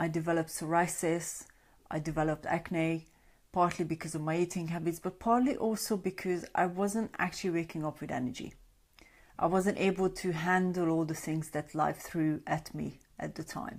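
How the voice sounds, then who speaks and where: Speaking in a Hungarian accent at a moderate pace, a woman uses a fairly low pitch and fairly even intonation in a very clean recording with a silent background. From Hungary. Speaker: sleep coach. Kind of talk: live stream talk. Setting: Facebook Live broadcast. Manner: conversational.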